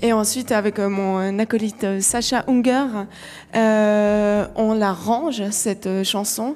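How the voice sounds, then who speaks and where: Very slowly and with very even loudness, a woman with a Vaud accent talks at a fairly high pitch with fairly even intonation. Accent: Vaudois Swiss French. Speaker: singer-songwriter. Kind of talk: radio interview. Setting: live radio broadcast from a venue. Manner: hesitant, many fillers.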